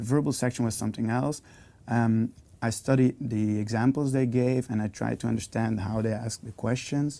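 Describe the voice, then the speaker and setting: With a Flemish accent, a man speaks at a moderate pace, his medium-pitched voice dark and mellow in tone and his intonation fairly even. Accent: Belgian (Flemish) English. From Belgium. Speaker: university student. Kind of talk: interview testimony. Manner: hesitant, many fillers.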